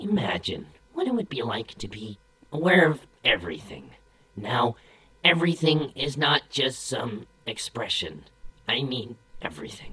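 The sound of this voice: A cartoonish character voice sits at a low-to-middle pitch. It moves at a moderate pace with long, frequent pauses.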